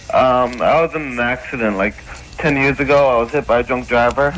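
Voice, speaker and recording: Noticeable background noise sits behind a man speaking at a medium pitch. He talks at a fairly quick pace with fairly even intonation. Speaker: radio show caller.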